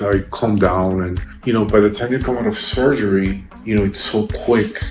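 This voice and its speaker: Music in the background behind a man with a fairly low-pitched voice. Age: 50s. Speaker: surgery patient. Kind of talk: patient testimonial interview answer.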